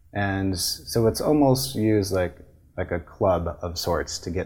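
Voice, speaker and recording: The pitch of this man's voice is very deep and low. He sounds somewhat breathy. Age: 40s. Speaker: patent attorney. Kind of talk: interview.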